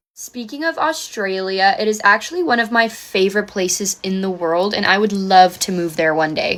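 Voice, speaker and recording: With an American accent, a woman talks at a moderate pace and medium pitch, her intonation lively. She hardly pauses, and there is noticeable background noise. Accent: American accent picked up in Canada. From South Africa. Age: 20s. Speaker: social media influencer. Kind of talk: get-ready-with-me vlog talk. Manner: casual, chatty.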